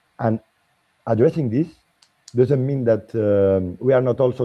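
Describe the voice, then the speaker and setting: Delivered at a moderate pace, the speech carries a slight French accent and ordinary pitch variation. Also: man. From Spain. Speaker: political party member, panelist. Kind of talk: panel debate. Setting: livestream. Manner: halting.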